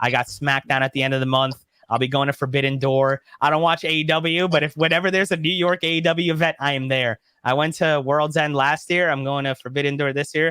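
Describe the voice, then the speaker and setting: Here is a man with a fairly high pitch and an animated tone. He talks at a very fast pace. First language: not English (parents European). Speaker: YouTube content creator, wrestling fan. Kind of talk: casual interview chat. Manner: fast, animated.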